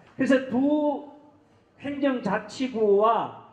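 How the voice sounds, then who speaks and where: A man's voice over noticeable background noise. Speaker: event organizer. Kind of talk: formal address at a forum. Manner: halting with fillers.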